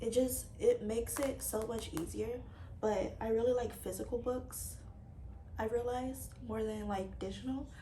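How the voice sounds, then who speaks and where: Woman at a moderate pace, with noticeable background noise and audible room echo. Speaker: book vlogger. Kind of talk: casual chat. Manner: hesitant, many fillers.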